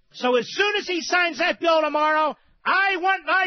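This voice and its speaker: A man with an American accent, shouting at an extremely high pitch, passionate in tone, with ordinary pitch variation. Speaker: talk radio host. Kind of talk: political talk radio monologue. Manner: sarcastic, emphatic, passionate.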